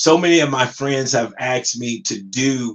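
A man with an American accent speaks in a plain, everyday voice at a medium pitch, with ordinary pitch variation. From US West Coast, Compton, California. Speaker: podcast host and motivational coach. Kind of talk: solo monologue podcast.

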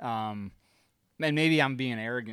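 The recording is very clean with a silent background as a man talks at medium pitch with ordinary pitch variation. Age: under 50. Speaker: hunting and food plot podcast co-host. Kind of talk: casual chat. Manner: animated.

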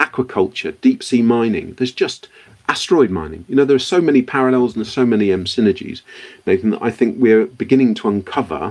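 A man with a British accent speaks at a fairly quick pace. His pitch is medium and his intonation lively. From born in Liberia, West Africa; considers himself British. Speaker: entrepreneur, company founder. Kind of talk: interview.

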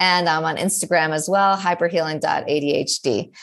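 A woman with an American accent and a fairly low pitch, at a moderate pace with fairly even intonation, over music in the background. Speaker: ADHD coach and college lecturer. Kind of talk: interview conversation. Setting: remote call.

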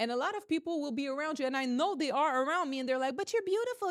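A woman speaks with a high pitch. Her tone is energetic. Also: very clean recording, silent background. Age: 30s. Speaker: podcast host and realtor. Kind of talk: motivational monologue.

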